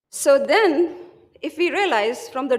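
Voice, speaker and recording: In a room with audible echo, a woman speaks at a fairly slow pace with very wide pitch swings. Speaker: physician presenting at medical conference. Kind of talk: conference lecture.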